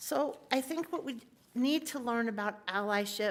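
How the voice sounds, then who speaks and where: Speaking fairly slowly, the woman uses lively intonation. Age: 60s. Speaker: activist speaker. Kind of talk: talk in a worship service.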